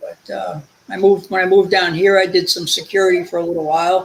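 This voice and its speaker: A man at a moderate pace, with a New Jersey accent. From New Jersey, Linden. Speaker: guest, retired welder. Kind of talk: casual chat. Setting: live stream.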